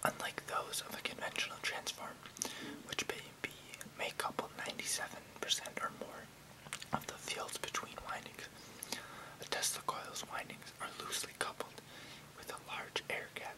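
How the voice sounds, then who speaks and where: Whispering and soft-spoken, the speaker goes at a moderate pace with long, frequent pauses over noticeable background noise. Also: man. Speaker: video creator. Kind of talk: casual explanatory vlog, reading technical text. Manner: close soft ASMR whisper. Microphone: webcam.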